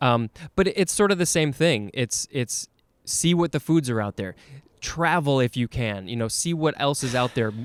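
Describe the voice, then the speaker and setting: With an American accent and an ordinary speaking voice, a man talks at a moderate pace, his pitch fairly high and his intonation lively, in a very clean recording with a silent background and a dry, close sound with no echo. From USA. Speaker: podcast host. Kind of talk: casual chat.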